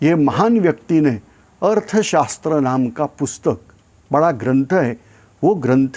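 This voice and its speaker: Lively intonation runs through this man's speech. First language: not Hindi (speaking Hindi). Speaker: YouTube channel host. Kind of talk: informational talk. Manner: hesitant, many fillers.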